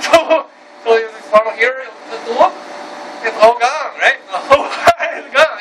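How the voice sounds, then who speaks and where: A man keeps a moderate pace while loud background noise fills the clip. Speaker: martial arts teacher. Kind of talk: informal teaching explanation. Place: cafe. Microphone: camera far.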